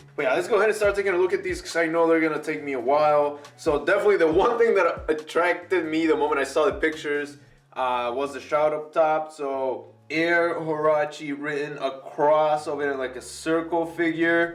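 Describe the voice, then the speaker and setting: Over music in the background, a man talks in an animated tone at a fairly quick pace with a fairly high pitch and hardly any pauses. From Mexico. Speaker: sneaker youtuber. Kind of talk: unboxing video. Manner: casual, animated.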